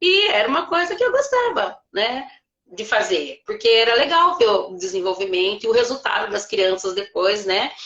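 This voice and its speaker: Her pace is fairly slow. This woman's pitch swings very widely. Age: 60s. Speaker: retired teacher and private tutor. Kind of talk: live stream interview.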